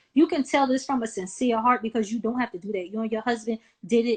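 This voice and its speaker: At a fairly quick pace, a woman with a high pitch talks in a Southern US accent. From US South, small-town South Carolina. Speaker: nonprofit founder and event host. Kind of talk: interview.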